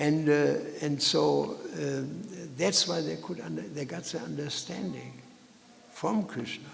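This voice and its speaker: Through noticeable background noise and audible room echo, a man speaks at a fairly slow pace with long, frequent pauses. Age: 70s. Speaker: Hare Krishna preacher. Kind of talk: scripture lecture. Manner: halting, many fillers.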